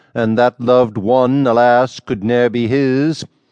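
With an ordinary speaking voice at medium pitch, a man talks at a fairly slow pace in a dry, close sound with no echo and a quiet background. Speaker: audiobook narrator. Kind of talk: poetry reading aloud, audiobook narration of archaic verse. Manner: measured, formal, steady rhythmic delivery.

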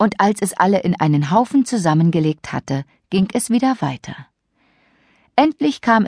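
On a very clean recording with a silent background and a dry, close sound with no echo, a woman speaks at a moderate pace and medium pitch, her slightly mellow tone carried by lively intonation.

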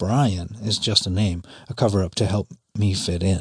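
A man speaks with a fairly low pitch and fairly even intonation. His voice is somewhat breathy, over a quiet background. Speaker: audiobook narrator and memoir author. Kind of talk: dramatic first-person memoir narration, audiobook reading, intense and present-tense. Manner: urgent, racing, tense, with wry bitter sarcasm on lines like 'Great. Super. Superman.'.

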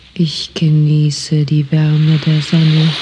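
Through noticeable background noise, a woman speaks with a gentle, calm tone at a very deep, low pitch. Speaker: audiobook narrator. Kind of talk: guided meditation, autogenic relaxation script in first person. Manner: slow, calm, soothing, soft, even pacing with long pauses; hypnotic, gentle, repetitive.

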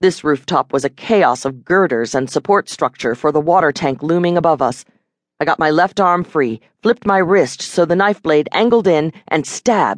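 An unremarkable speaking voice moves at a moderate pace with lively intonation and very even loudness, in a dry, close sound with no echo against a quiet background. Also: woman, fairly low pitch for a woman. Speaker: audiobook narrator. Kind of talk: dramatic first-person audiobook narration of an urban fantasy action scene. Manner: wry and bitter when commenting on the traders.

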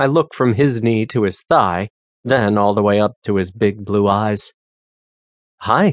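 In a quiet background with a dry, close sound and no echo, a man with an ordinary speaking voice talks at medium pitch and a fairly slow pace. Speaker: audiobook narrator. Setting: studio. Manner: casual and conversational, with voiced characters.

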